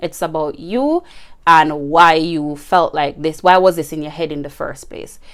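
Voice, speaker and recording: This is a normal speaking voice. It moves at a moderate pace with fairly even intonation. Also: woman. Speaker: podcast host. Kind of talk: casual solo podcast advice.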